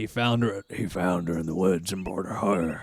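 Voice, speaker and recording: A man puts on a character voice at a very deep, low pitch. He keeps a moderate pace. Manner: rural, gruff.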